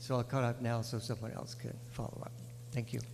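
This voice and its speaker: Words come fairly fast. There is some breathiness in the voice. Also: man. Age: 70s. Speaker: public commenter at hearing. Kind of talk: public testimony.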